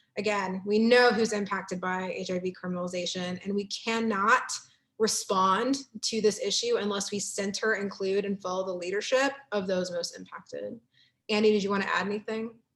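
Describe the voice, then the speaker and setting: Her pace is fairly quick. The woman's pitch sits in the medium range. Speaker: workshop presenter. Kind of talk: online workshop presentation. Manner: fast; animated.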